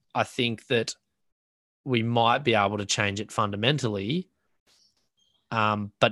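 With an Australian accent, a man speaks in a fairly low pitch and a bright, sharp tone, his intonation fairly even, in a dry, close sound with no echo. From Australia (New South Wales coast). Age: 30s. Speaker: professional bodyboarder. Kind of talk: casual interview chat. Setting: remote call.

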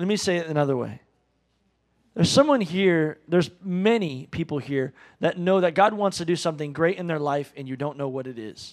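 A man's normal speaking voice, fairly high in pitch with ordinary variation, in a very clean recording with a silent background. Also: fairly quick pace. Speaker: pastor. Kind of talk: sermon and announcements. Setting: church.

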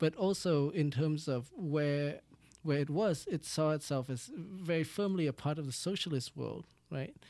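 In a very clean recording with a silent background, a man with a Vietnamese accent speaks at a fairly high pitch in a dark, mellow tone with ordinary pitch variation. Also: moderate pace. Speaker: doctoral researcher. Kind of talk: interview. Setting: studio.

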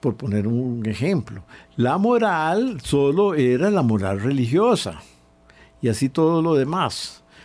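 Fairly high in pitch, a man speaks at a very slow pace. His pitch swings very widely while his loudness stays very even. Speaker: priest and historian. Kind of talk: radio interview.

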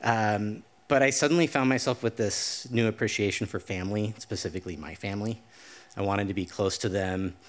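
A man with an American accent and a plain, everyday voice, fairly low in pitch, at a fairly quick pace with ordinary pitch variation, on a very clean recording with a silent background. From Idaho. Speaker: storyteller. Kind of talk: live storytelling. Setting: stage with audience.

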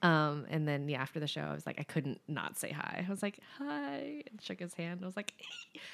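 A woman talks at a moderate pace with hardly any pauses, her pitch very deep and low. Her tone is animated, and her pitch varies an ordinary amount. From Maryland and Florida, US (born in England). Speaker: musician, former touring band member. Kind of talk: casual chat. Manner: animated, laughs often.

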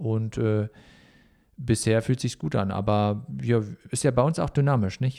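At a moderate pace, a man talks with a dark, mellow tone, a fairly low pitch and ordinary pitch variation. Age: 30s. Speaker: management consultancy CEO and former handball player. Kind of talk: interview.

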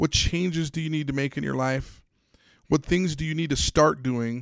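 On a very clean recording with a silent background, a man uses a normal speaking voice, keeping a moderate pace and ordinary pitch variation. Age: 40s. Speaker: podcast host and sports psychology consultant. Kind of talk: motivational monologue.

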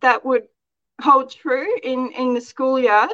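A high-pitched woman with an Australian accent, a bright, sharp tone, ordinary pitch variation and a fairly slow pace, in a dry, close sound with no echo. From Australia, outback Queensland. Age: 40s. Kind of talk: interview.

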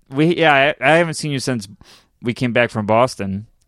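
His pitch varies in an ordinary way. This man talks at a medium pitch. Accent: upstate New York. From upstate New York (Syracuse). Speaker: comedian. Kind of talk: casual chat.

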